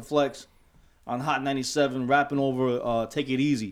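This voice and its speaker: A plain, everyday voice from a man, fairly high in pitch, at a fairly slow pace on a very clean recording with a silent background. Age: 40s. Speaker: podcast co-host, DJ. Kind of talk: casual chat.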